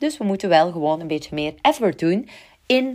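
A fairly low-pitched woman's voice, swinging very widely in pitch. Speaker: podcast host, branding coach. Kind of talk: solo podcast monologue with tips. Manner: enthusiastic.

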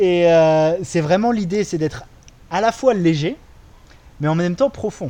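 With a dark, mellow tone and a high pitch, a man speaks fairly slowly with ordinary pitch variation and long, frequent pauses. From France. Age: 30s. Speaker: podcast co-host. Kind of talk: casual conversation. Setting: recording in Bali.

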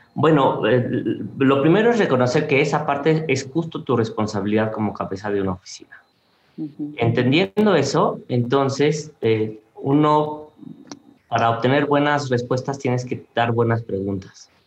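With a Mexican accent, a man speaks in a fairly high pitch using lively intonation. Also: moderate pace. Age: 40s. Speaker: industrial designer. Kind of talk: interview conversation.

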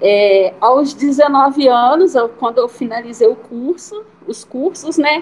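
Speaking at a very slow pace, a woman with a high pitch uses lively intonation. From Brazil, small town. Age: 30s. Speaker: fashion entrepreneur and seamstress. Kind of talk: interview conversation. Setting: remote online recording.

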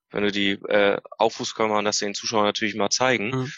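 Fairly quick delivery from a man, his pitch in the medium range. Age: 30s. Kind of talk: casual interview. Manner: animated.

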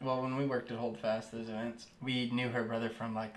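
At a moderate pace, a man speaks at a medium pitch in an unremarkable speaking voice. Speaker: podcast co-host. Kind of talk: casual chat.

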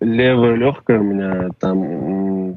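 A man speaks in a fairly low voice with ordinary pitch variation. It is an ordinary speaking voice. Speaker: musician. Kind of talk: casual chat.

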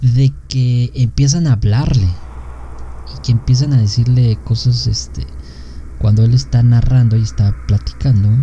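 With a Mexican accent, a man speaks at a fairly slow pace, leaving long, frequent pauses, against noticeable background noise. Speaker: podcast co-host. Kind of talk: casual chat. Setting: live stream.

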